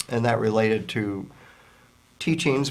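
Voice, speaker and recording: Audible room echo surrounds this man's voice. He speaks at a medium pitch with an American accent. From US South, Virginia. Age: 60s. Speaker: author and anti-prejudice educator. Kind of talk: interview.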